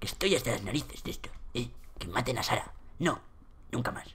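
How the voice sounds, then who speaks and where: A man puts on a character voice and speaks at a fairly quick pace. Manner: grumpy, annoyed.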